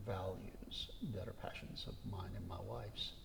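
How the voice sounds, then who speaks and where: There is audible room echo around a man's speech. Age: 60s. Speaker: retired Episcopal priest. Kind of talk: interview conversation.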